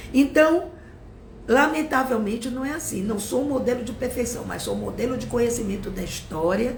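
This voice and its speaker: Against noticeable background noise and audible room echo, a woman with a fairly high voice talks at a moderate pace with ordinary pitch variation. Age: 60s. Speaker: teacher. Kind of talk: live-stream political commentary. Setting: Instagram live stream. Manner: animated.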